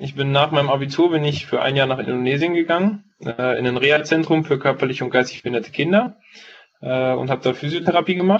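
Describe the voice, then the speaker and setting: The man's voice sits fairly high, and its pitch varies in an ordinary way. He speaks very fast. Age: 20s. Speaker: paramedic trainee and entrepreneur. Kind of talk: interview. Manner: hesitant, many fillers.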